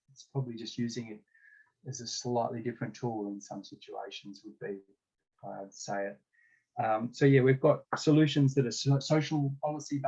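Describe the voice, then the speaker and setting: Medium in pitch and somewhat breathy, a man speaks with ordinary pitch variation. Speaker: discussion facilitator. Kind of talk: online group discussion.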